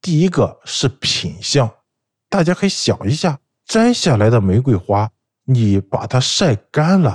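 The voice moves at a very slow pace with a dark, mellow, somewhat breathy tone and very wide pitch swings. The sound is dry and close, with no echo. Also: man. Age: 30s. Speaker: food fraud fighter, food engineer. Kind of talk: first-person storytelling.

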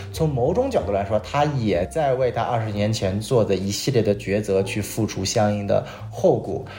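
With music in the background, a man speaks at a fairly low pitch with ordinary pitch variation and hardly any pauses. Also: moderate pace. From Northeast China. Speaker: podcast host. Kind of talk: casual chat, TV drama review.

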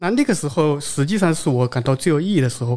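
An ordinary speaking voice, a man's with a fairly high pitch, moves at a fairly quick pace in a very clean recording with a silent background. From Zhejiang, China. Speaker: software architect. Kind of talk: casual chat at live event. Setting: live recording at developer conference.

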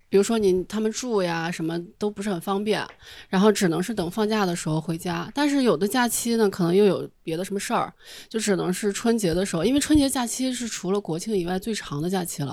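A woman's medium-pitched voice at a very fast pace, with ordinary pitch variation, on a very clean recording with a silent background. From Shanxi, China. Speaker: audience member. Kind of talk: casual chat.

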